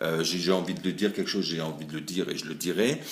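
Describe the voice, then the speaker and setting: A man speaks at a very fast pace in a very deep, low pitch. Audible room echo surrounds his voice. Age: 40s. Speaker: salesman. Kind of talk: casting video.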